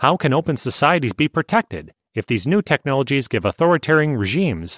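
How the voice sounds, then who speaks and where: Over a silent background in a very clean, dry, close recording with no echo, a man of medium pitch speaks at a moderate pace with vocal fry and very wide pitch swings. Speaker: article narrator. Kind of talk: reading aloud.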